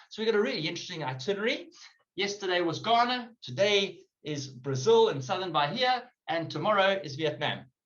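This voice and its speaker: In a room with audible echo, a man talks at a fairly quick pace with a high pitch and lively intonation. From South Africa. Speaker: webinar co-host. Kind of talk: virtual tour presentation.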